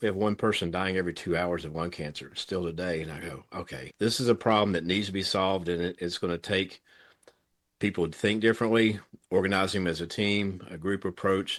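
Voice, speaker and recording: A man with a Tennessee accent, very deep and low in pitch, fairly quick and fairly even in intonation, against a quiet background. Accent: US Southern (Tennessee). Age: 60s. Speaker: thoracic surgeon. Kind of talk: interview conversation. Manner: passionate.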